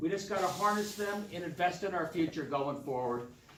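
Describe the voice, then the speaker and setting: A man with a high voice and lively intonation is heard with audible room echo and noticeable background noise. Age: 60s. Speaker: political candidate. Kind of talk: campaign speech. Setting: public forum with audience.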